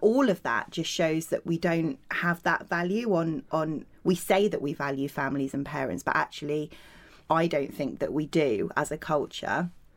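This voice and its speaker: In a very clean recording with a silent background, a woman with a British accent speaks at a very deep, low pitch with ordinary variation. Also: moderate pace. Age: 30s. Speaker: body image campaigner and author. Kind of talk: casual chat.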